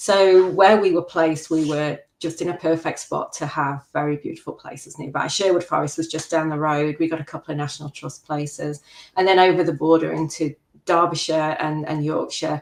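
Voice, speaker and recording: A woman's very deep, low voice at a fairly quick pace, with fairly even intonation. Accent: slight English. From English Midlands, Worksop, Nottinghamshire. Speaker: macro photographer. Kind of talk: interview.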